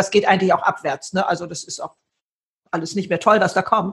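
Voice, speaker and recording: The speaker sounds somewhat breathy and animated, talking at a very fast pace with ordinary pitch variation. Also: woman. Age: 70s. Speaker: author and keynote speaker. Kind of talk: interview.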